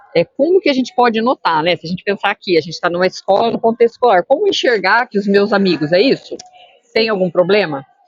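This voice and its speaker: The woman talks at a very fast pace. Her voice sits at a medium pitch with lively intonation. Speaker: school psychologist. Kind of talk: interview answering student questions.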